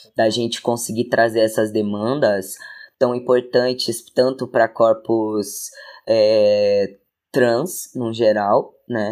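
Very slowly, a man talks in a medium voice with fairly even intonation. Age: 20s. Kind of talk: casual interview chat.

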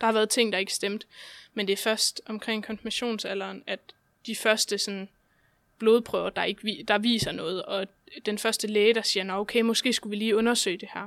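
The delivery is monotone and flat at a moderate pace. The recording is very clean, with a silent background. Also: woman. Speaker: guest with chronic illnesses. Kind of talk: casual interview.

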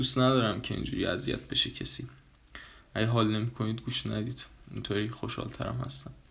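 A man speaks at a very fast pace in a fairly low pitch, with vocal fry. His pitch swings very widely. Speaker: podcast host. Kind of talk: casual monologue. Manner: casual; low-energy.

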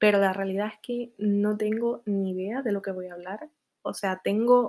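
The clip has a normal speaking voice at a fairly slow pace. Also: woman, dry, close sound with no echo, very clean recording, silent background. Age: 20s. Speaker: podcaster. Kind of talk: casual monologue.

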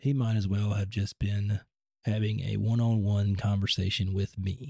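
Dry and close with no echo, the voice has a dark, mellow, somewhat breathy tone, a fairly slow pace and fairly even intonation. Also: man, very clean recording, silent background. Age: 30s. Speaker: podcast host. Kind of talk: personal testimony. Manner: halting.

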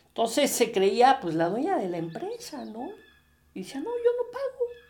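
An extremely high male voice with a central Mexican accent, very wide pitch swings and a fairly slow pace. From Mexico, Puebla. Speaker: podcast host, business consultant. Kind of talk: casual monologue. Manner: halting, many fillers and repetitions.

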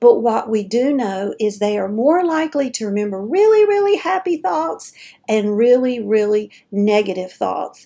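A woman with an unremarkable speaking voice talks at a moderate pace. Her pitch is fairly high and her intonation lively. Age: 50s. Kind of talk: casual monologue. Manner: chatty, informal.

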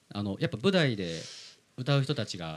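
This man's pitch swings very widely as he talks. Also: very clean recording, silent background. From Philippines (Manila), Japanese-Filipino. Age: 30s. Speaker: podcast host. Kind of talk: interview.

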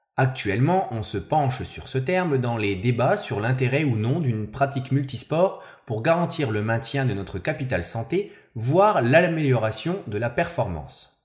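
With lively intonation and a fairly slow pace, a man talks at a medium pitch in a somewhat breathy voice. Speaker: sports columnist. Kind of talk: opinion column.

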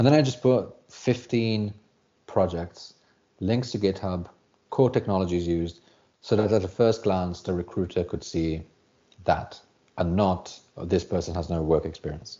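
A man with a British accent speaks at a very deep, low pitch and a moderate pace, with ordinary pitch variation and long, frequent pauses. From UK. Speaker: software developer, former English teacher. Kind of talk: casual interview.

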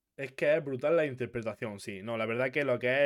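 A normal speaking voice comes through with fairly even intonation. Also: man. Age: 20s. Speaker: podcast host. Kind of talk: casual interview.

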